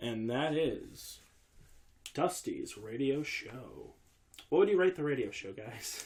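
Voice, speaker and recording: A man at a very slow pace, with long, frequent pauses and big swings in loudness. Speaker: podcast host. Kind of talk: casual podcast talk.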